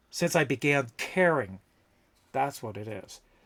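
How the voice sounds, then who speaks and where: A man is speaking. Music plays in the background. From Canada, London, Ontario. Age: 50s. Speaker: streamer and prop maker. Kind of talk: casual livestream chat while crafting.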